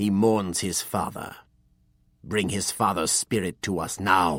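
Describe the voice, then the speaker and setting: On a very clean recording with a silent background, a man does a put-on, growling character voice, very deep and low in pitch, at a fairly slow pace. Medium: read story. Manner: commanding, authoritative.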